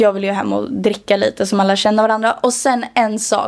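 A woman speaks at a moderate pace in a fairly high voice with fairly even intonation. She has a normal speaking voice. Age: 20s. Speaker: podcast co-host and TikTok creator. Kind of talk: casual chat.

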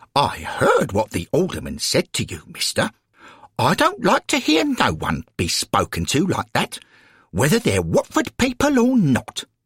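With a dry, close sound and no echo, a put-on character voice moves at a fairly slow pace, its fairly bright tone carrying a husky, rough edge and very wide pitch swings. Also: man, medium pitch for a man.

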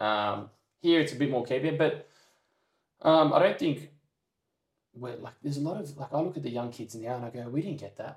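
A man with an Australian accent talks at a fairly quick pace in a somewhat breathy voice, with long, frequent pauses and big swings in loudness. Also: fairly high pitch for a man, ordinary pitch variation. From Sydney, Australia. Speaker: semi-pro footballer. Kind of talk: casual chat.

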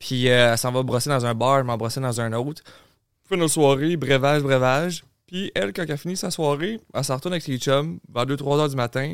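On a very clean recording with a silent background, a man speaks at a fairly quick pace. His pitch is fairly high, with ordinary variation. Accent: Quebec. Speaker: content creator and podcaster. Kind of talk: casual chat.

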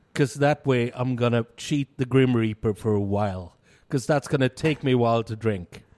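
A man talks at a moderate pace and medium pitch with ordinary pitch variation. His unremarkable speaking voice sounds dry and close, with no echo. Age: 50s. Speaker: podcast co-host, bar worker and beer enthusiast. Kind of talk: casual chat. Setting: studio.

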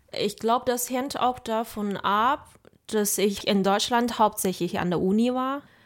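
At a fairly slow pace, a woman with a fairly high voice and a Mandarin Chinese accent keeps her intonation fairly even on a very clean recording with a silent background. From China. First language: Mandarin Chinese (speaking German). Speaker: podcast host, university student. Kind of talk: interview conversation.

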